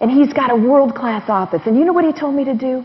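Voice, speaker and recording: With noticeable background noise behind her, a woman speaks at a high pitch with ordinary pitch variation. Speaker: investor and financial interviewer. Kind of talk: seminar talk. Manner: animated.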